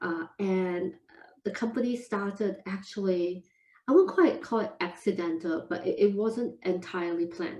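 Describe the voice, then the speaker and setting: Medium in pitch with ordinary variation, a woman speaks at a moderate pace in a Singaporean accent and a dark, mellow tone. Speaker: food entrepreneur. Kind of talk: podcast interview.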